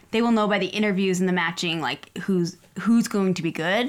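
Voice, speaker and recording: A woman with an ordinary speaking voice, medium in pitch, at a moderate pace with ordinary pitch variation. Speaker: podcast co-host. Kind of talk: casual chat.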